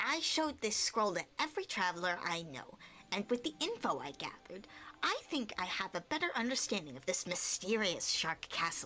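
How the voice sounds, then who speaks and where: A woman's put-on character voice at medium pitch, with very wide pitch swings, a moderate pace and clear background noise. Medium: game stream. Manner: confident, breezy.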